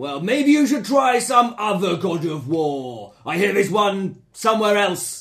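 Putting on a character voice, a man speaks at a high pitch and a moderate pace. He hardly pauses at all. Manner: angry.

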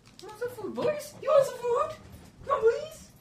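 Someone puts on a character voice at an extremely high pitch. The pace is moderate. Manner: silly, coaxing.

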